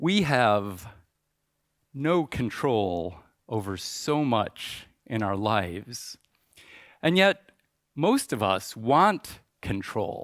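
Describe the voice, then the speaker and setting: Speaking very slowly with long, frequent pauses, a man with a Midwestern American accent and medium pitch swings his pitch very widely on a very clean recording with a silent background. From US Midwest, suburbs of Chicago. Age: 60s. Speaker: conference speaker. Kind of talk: conference talk.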